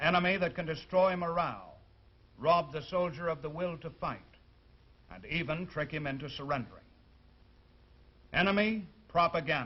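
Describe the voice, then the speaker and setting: A man with a high pitch talks at a moderate pace, leaving long, frequent pauses. His loudness swings widely. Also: ordinary pitch variation. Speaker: army sergeant, TV host. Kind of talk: TV program introduction.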